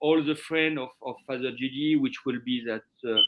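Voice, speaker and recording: The speaker is a man with a French accent. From France. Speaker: chef. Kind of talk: interview. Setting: live stream. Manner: halting.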